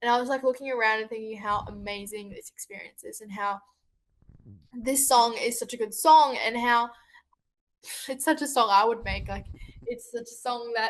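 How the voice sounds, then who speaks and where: With an Australian accent, a woman speaks at a moderate pace and a fairly high pitch. Her intonation stays fairly even, with long, frequent pauses. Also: big swings in loudness. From Australia, Sydney. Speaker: singer-songwriter. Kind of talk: interview. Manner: halting.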